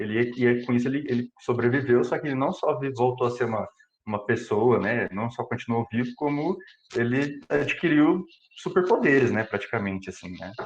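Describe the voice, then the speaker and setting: This man speaks in an interior São Paulo accent at a medium pitch. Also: ordinary pitch variation, moderate pace. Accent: interior São Paulo accent (caipira). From Brazil, interior of São Paulo state. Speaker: computational biologist giving a talk. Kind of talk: lecture. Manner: hesitant, many fillers and repetitions.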